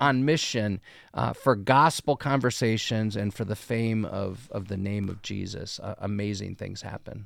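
An unremarkable speaking voice from a man, fairly low in pitch, at a moderate pace on a very clean recording with a silent background. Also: ordinary pitch variation. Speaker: pastor and podcast co-host. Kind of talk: casual discussion of a sermon.

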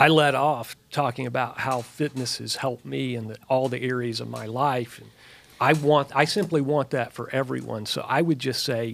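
In an ordinary speaking voice, a man speaks at a moderate pace with fairly even intonation and big swings in loudness. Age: 50s. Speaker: clinical research worker, fitness group member. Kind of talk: casual chat.

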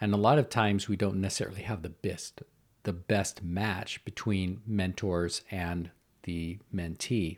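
A man speaks in a relaxed tone with a very deep, low pitch. His pace is fairly slow and his intonation fairly even. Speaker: podcast host, school leadership coach. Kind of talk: solo educational podcast talk. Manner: relaxed, conversational.

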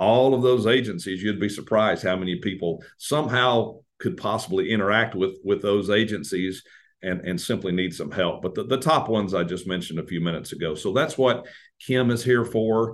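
A man with a Tennessee accent speaks at a fairly low pitch. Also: ordinary pitch variation. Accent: Tennessee Southern American. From US South, Tennessee (Madison, near Nashville). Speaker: congressional staff member. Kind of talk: interview.

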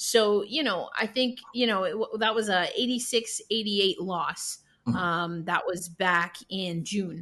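With an American accent, a woman at medium pitch speaks at a very slow pace, using ordinary pitch variation and hardly any pauses. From New York. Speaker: podcast host, sports media founder. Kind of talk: casual sports podcast interview.

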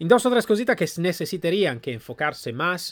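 Lively intonation marks this high-pitched man speaking with an Italian accent. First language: Italian (speaking Spanish). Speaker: podcast host reviewing training companies. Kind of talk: solo commentary review. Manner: halting, with fillers.

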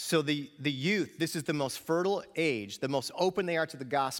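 Using an ordinary speaking voice, a man with a fairly high pitch talks at a moderate pace with lively intonation. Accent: American. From New York. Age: 50s. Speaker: pastor and student ministry teacher. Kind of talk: sermon. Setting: church with audience.

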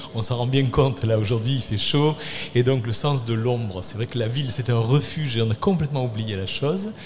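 Noticeable background noise sits under a man speaking with ordinary pitch variation. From Arles, Provence. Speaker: city works manager, former mason. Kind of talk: radio panel discussion.

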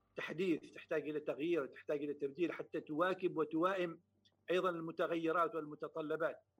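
Over music in the background, a man with a high pitch speaks at a moderate pace in a monotone, flat intonation. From Oman, Samail. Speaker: poet and state council member. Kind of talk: interview.

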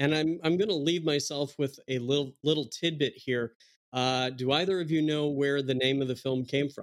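A man with an American accent talks at a moderate pace, his intonation fairly even. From Wisconsin, Milwaukee. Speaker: film critic. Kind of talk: casual chat. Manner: halting, many fillers.

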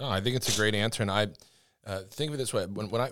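A man talks at a very fast pace in a fairly low pitch with ordinary pitch variation. The recording is very clean, with a silent background. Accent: American. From US Northeast. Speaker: podcast co-host, army public affairs sergeant. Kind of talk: interview. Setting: studio.

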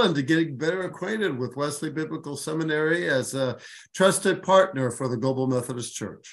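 An ordinary speaking voice moves at a fairly quick pace with ordinary pitch variation over a quiet background. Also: man. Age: 60s. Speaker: bishop and former theology professor. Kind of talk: interview.

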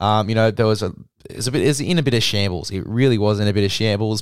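With an Australian accent, a man speaks at a fairly low pitch in a very clean recording with a silent background and a dry, close sound with no echo. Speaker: rugby league podcast host. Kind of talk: scripted review read aloud, hushed. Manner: quiet, soft-spoken; casual, swears.

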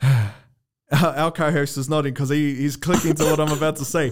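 A fairly high-pitched man with a New Zealand accent on a very clean recording with a silent background. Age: 20s. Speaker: podcast host. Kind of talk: casual chat.

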